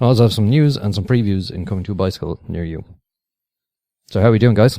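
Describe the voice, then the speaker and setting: A man with an Irish accent, a dark, mellow tone and lively intonation, in a very clean recording with a silent background. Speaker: podcast host. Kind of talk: casual chat.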